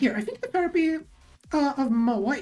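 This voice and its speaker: A woman's intonation is lively while music plays in the background. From southern Brazil. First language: Portuguese. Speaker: streamer. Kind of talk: casual chat. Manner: animated.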